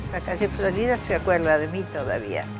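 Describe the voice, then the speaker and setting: Clear music plays in the background. A woman is speaking over it. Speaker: writer. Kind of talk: interview answer. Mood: reflective, proud, animated gestures. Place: garden.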